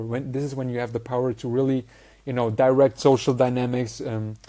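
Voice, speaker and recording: At a moderate pace, a man with a non-native accent speaks in a dark, mellow tone. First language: not English. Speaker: social skills coach. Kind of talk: online course lecture.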